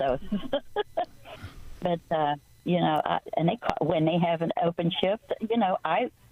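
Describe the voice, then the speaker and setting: Against noticeable background noise, a woman with a fairly low pitch talks at a moderate pace with ordinary pitch variation. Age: 80s+. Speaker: caller, private duty nurse. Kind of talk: casual chat. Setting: phone call; in a car. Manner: halting.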